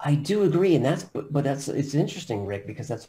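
A somewhat breathy man with an American accent, a fairly high pitch and a dark, mellow tone, very fast and with very wide pitch swings. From US Northeast, Long Island, New York. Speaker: company CEO. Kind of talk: interview.

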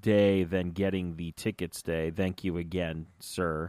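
Recorded dry and close with no echo, a man speaks at a fairly slow pace. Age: 30s. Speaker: podcast host. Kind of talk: casual chat. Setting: studio.

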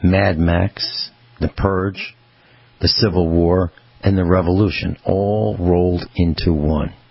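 A man speaks with a very deep, low pitch and ordinary pitch variation. Noticeable background noise is present. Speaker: radio host.

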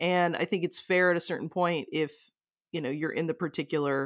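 A woman with an ordinary speaking voice, pitched fairly low for a woman, speaks with fairly even intonation on a very clean recording with a silent background. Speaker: graphic designer and meditator. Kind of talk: casual conversation.

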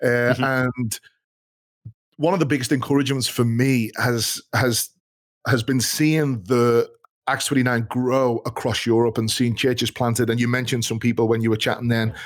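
An unremarkable speaking voice belongs to a man at medium pitch and moderate pace. His loudness stays very even and his intonation fairly even. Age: 40s. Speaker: podcast host and pastor. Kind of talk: casual chat.

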